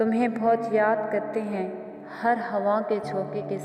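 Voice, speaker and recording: Her voice sits fairly high. Behind the woman, music is playing. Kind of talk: poetry reading.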